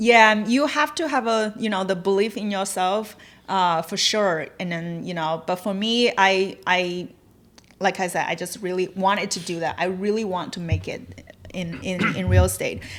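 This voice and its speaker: A woman talks in a Chinese accent at a medium pitch. Her pace is moderate and her pitch varies in an ordinary way. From China. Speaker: realtor and real estate investor. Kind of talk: podcast interview. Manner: halting.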